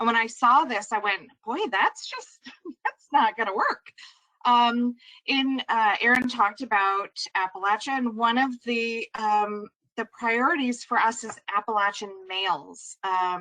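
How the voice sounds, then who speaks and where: A woman's fairly high voice with a New York accent, fairly slow, in a dry, close recording with no echo. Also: ordinary pitch variation. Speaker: social worker. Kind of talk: webinar presentation.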